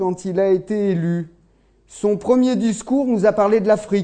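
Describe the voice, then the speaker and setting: A man's high voice with a dark, mellow tone. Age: 40s. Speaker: agricultural technician and lecturer. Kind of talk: lecture.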